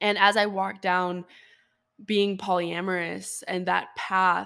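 A woman speaks at medium pitch and a fairly slow pace in an animated, enthusiastic tone. The recording is very clean with a silent background. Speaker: podcast host. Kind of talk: solo podcast Q&A, casual storytelling. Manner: animated, chatty, enthusiastic.

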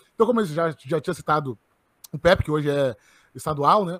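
A man talks at a very fast pace with ordinary pitch variation, with a dry, close sound and no echo on a very clean recording with a silent background. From southern Brazil, Porto Alegre. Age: 20s. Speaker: head of a libertarian student organization. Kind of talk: interview.

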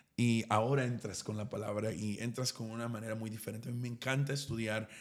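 Keeping a medium pitch and fairly even intonation, a man talks in an unremarkable speaking voice. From East Texas. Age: 30s. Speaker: pastor. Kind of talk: casual chat.

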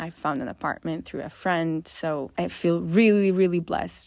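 A woman with an Italian accent speaks at a moderate pace. Her pitch is fairly low and her intonation fairly even. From Northern Italy. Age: 20s. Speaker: podcast host. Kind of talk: casual monologue. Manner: rambling.

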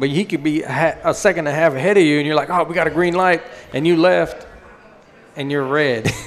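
A man with an American accent at a fairly high pitch, talking at a very fast pace over noticeable background noise. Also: ordinary pitch variation. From Colorado, Denver. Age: 40s. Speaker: drag racing champion. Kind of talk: interview.

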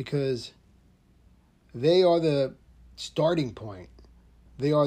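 A man with an American accent speaks at a very slow pace, somewhat breathy and fairly high in pitch. His tone is dark and mellow. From New Jersey. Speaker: podcast host, firearms trainer. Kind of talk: solo podcast monologue. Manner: casual, conversational.

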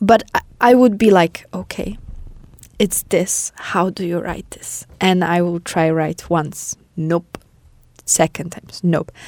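With a Polish accent, a woman speaks at a very slow pace with long, frequent pauses, fairly low pitch and fairly even intonation, in a dry, close sound with no echo. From Poland. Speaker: podcast host. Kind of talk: casual conversation podcast. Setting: small studio.

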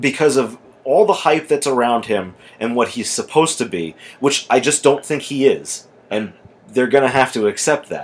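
Speaking at a moderate pace, a man uses a plain, everyday voice at medium pitch with lively intonation. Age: 20s. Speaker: sports podcast host. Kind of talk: casual chat. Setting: indoors with TV on.

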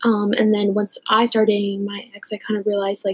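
A woman speaks fairly quickly at a fairly high pitch, somewhat breathy. The sound is dry and close with no echo. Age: 20s. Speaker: podcast host and college student. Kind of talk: casual solo talk.

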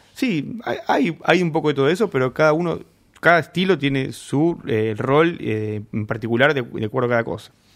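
Speaking at a moderate pace, a man with a Rioplatense accent has a fairly high pitch. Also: lively intonation. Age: 40s. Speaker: homebrewer and beer judge. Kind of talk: interview. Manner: halting.

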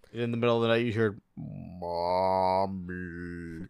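A man puts on a character voice with a very deep, low pitch. His pace is fairly slow. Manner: creepy, menacing.

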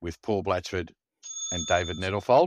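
Fairly even intonation carries a man's very deep, low voice with an Australian accent. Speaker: podcast co-host. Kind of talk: casual chat. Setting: video call from a caravan.

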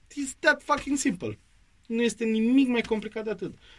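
At a moderate pace, a man talks with an animated tone. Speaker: actor and drama school head. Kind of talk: interview.

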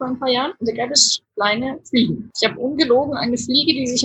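A woman's high voice, fairly quick, with ordinary pitch variation and a dry, close sound free of echo. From Germany. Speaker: hospital doctor. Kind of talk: casual chat.

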